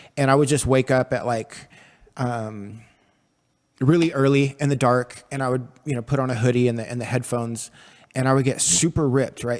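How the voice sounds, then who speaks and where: The recording is very clean, with a silent background. A plain, everyday voice keeps a moderate pace and fairly even intonation. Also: man. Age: 40s. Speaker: podcast host. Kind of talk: casual interview. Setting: studio.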